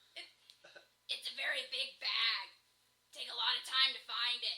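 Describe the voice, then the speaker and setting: The pace stays moderate. It is delivered in a put-on character voice. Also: female-sounding voice, high pitch for a woman. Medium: actual play. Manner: stammering.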